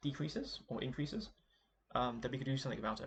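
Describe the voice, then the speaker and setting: Somewhat breathy, the man speaks in a medium pitch. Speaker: gaming video creator. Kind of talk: game commentary monologue. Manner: halting, many fillers and repetitions.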